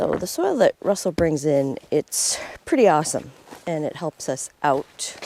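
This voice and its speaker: A soft-spoken woman's fairly low voice at a fairly slow pace, with ordinary pitch variation and a dry, close sound with no echo. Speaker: off-grid cabin vlogger. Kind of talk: casual vlog talk.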